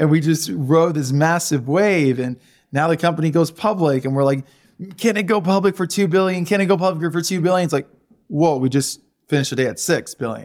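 Recorded very cleanly against a silent background, a man with a normal speaking voice talks at a fairly quick pace and fairly high pitch with ordinary pitch variation. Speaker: company founder. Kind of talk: interview.

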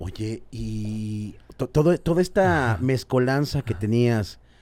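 With lively intonation, a man's fairly low voice has a dark, mellow tone on a very clean recording with a silent background. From Mexico. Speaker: podcast host. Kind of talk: casual interview. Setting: studio.

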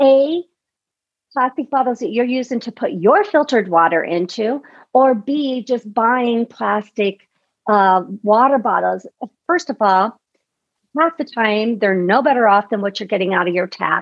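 Her intonation lively and her pitch fairly high, a woman speaks in an ordinary speaking voice. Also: fairly slow pace. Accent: American. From US Midwest. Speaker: detox specialist and podcast host. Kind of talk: interview.

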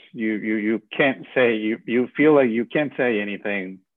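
In a Spanish accent, a man speaks at a medium pitch. He keeps a moderate pace with ordinary pitch variation. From Venezuela. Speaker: bereavement ministry leader. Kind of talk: interview about grief.

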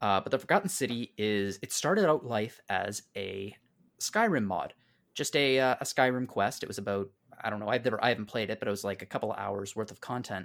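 A man with a fairly low pitch talks at a fairly quick pace in a normal speaking voice. His pitch varies in an ordinary way, and the recording is very clean with a silent background. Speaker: panelist. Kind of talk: casual roundtable discussion.

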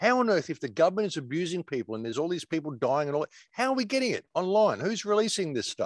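Very fast with hardly any pauses, a man with an Australian accent and a high pitch makes very wide pitch swings, recorded very cleanly with a silent background and a dry, close sound with no echo. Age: 60s. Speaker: alternative media commentator. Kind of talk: casual interview.

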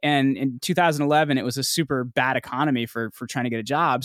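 A man's very fast speech with an American accent, medium in pitch with fairly even intonation, in a very clean recording with a silent background and a dry, close sound with no echo. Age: 30s. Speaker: podcast host and PR agency founder. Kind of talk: casual interview.

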